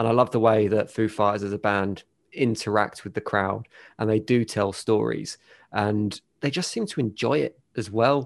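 A man with an ordinary speaking voice, fairly low in pitch, at a moderate pace with ordinary pitch variation, against a quiet background. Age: 40s. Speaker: radio DJ. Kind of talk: casual interview chat.

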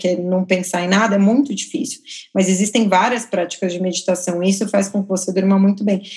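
At a fairly quick pace, a woman talks with a medium pitch and a somewhat breathy sound. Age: 30s. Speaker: photographer. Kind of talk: casual chat.

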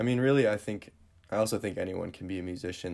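There is an American accent in a man's voice. His words come very fast. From Northern Michigan, US Midwest. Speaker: musician and content creator. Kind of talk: casual interview chat. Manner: hesitant, many fillers.

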